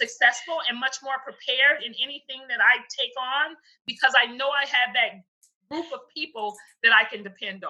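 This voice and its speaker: A woman uses a raised, projected voice with a high pitch and lively intonation. She keeps a moderate pace. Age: 60s. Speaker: speaker and coloring book author. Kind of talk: interview. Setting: video call.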